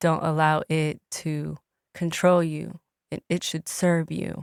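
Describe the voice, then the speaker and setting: A woman with a Spanish accent and a fairly low pitch, flat and monotone, in a very clean recording with a silent background. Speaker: entertainer and engineer. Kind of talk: casual chat. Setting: podcast interview.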